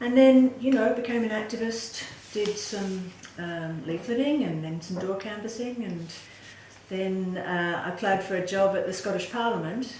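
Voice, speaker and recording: A woman's medium-pitched voice with ordinary pitch variation at a moderate pace, plus audible room echo and noticeable background noise. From Western Australia (Perth). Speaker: political candidate. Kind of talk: interview.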